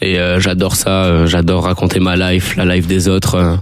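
Amid noticeable background noise, a man talks in a very deep, low pitch with monotone, flat intonation. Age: 20s. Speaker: rapper. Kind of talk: radio interview.

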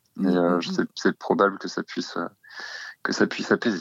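A man's voice sounds dry and close with no echo. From Normandy, France. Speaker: musician. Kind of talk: interview. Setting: phone call. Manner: halting.

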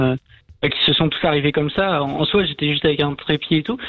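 Talking at a very fast pace, a man uses a fairly high pitch and ordinary pitch variation. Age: young. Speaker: caller, amateur journalist. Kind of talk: storytelling.

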